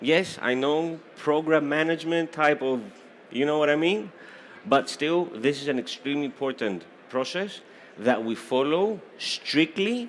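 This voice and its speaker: Speaking at a fairly slow pace, a man with a Greek accent uses a fairly high pitch and lively intonation. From Greece. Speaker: certification exam program presenter. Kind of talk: technical presentation. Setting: stage with audience. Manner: animated.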